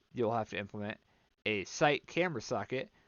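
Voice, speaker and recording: Talking at a fairly quick pace, a man uses a normal speaking voice with ordinary pitch variation. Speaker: game developer. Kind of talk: tutorial. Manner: casual with filler words.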